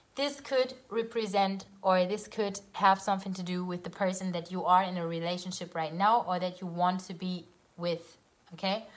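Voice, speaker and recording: With a German accent, the speaker talks at a moderate pace and keeps the intonation fairly even. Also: woman, medium pitch for a woman. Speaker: tarot reader. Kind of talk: tarot reading. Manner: halting.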